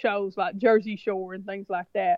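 This speaker has a Southern US accent. The pace is moderate. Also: woman. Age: middle-aged. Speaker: reality TV cast member. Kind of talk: interview. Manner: casual, chatty.

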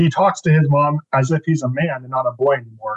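The speaker has an American accent and a somewhat breathy voice at a fairly quick pace. The sound is dry and close with no echo. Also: man. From Northern California, Bay Area. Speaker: author. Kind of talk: interview.

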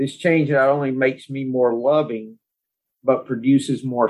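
With a plain, everyday voice, a man talks at a fairly slow pace and a medium pitch. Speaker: podcast host. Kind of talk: group discussion of recovery and Taoist text.

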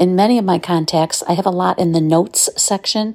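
Her voice is fairly low for a woman, with a dark, mellow tone and ordinary pitch variation. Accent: American. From Southeast Michigan, US. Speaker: listener contributor. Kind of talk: recorded tip.

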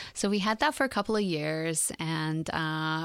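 Recorded very cleanly against a silent background, a woman with an unremarkable speaking voice talks at a fairly low pitch with ordinary pitch variation. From Iran and England, moved to Canada at sixteen. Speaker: fashion designer. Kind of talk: interview. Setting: studio.

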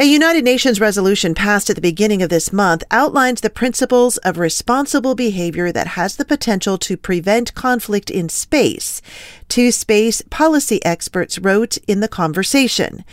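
A woman talks with a plain, everyday voice, a fairly high pitch, and lively intonation. Her pace is moderate, and the recording is very clean with a silent background. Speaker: news anchor. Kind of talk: newscast reading. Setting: broadcast from ranch studio. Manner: formal, steady, professional news-anchor delivery.

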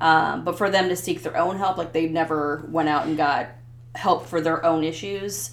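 A woman with a Midwestern American accent talks at a moderate pace in a fairly low pitch, with noticeable background noise behind her. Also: ordinary pitch variation. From US Midwest (Ottumwa, southeast Iowa). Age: 40s. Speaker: podcast guest sharing personal story. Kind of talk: casual interview, personal testimony. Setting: host's basement.

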